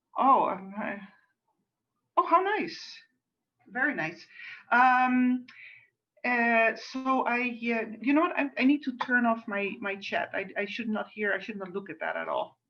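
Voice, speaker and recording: A woman speaks with a Dutch accent at a fairly slow pace, leaving long, frequent pauses. Her tone is bright and sharp, her intonation lively, and her pitch fairly high. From Netherlands, suburb of Amsterdam. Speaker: cantor. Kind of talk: religious service introduction. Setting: video call.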